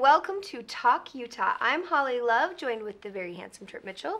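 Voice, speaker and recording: A woman puts on a character voice, high-pitched, raspy and hoarse, at a fairly quick pace. Her pitch swings very widely and her loudness rises and falls a lot. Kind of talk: show host introduction.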